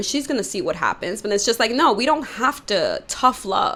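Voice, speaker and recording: A woman talks at a moderate pace. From New York, Dominican family. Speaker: YouTuber. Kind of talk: commentary monologue. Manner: loud tendency; casual, many fillers.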